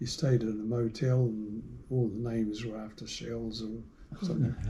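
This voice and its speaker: In a New Zealand accent, a man speaks at a moderate pace with fairly even intonation. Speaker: shell collector. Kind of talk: interview answer.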